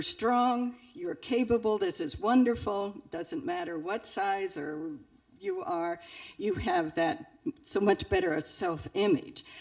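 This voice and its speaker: Music plays in the background as a woman speaks at a fairly slow pace with very wide pitch swings. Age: 70s. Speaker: audience member. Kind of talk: audience question.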